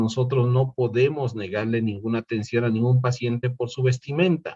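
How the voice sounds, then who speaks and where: A man's somewhat breathy, medium-pitched voice at a moderate pace over a quiet background. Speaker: lecturer. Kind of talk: online lecture. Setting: online class platform.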